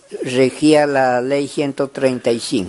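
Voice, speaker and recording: A man speaks with a medium pitch. His pace is very slow. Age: 80s+. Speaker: former peasant union leader, farmer. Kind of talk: interview answer, oral history.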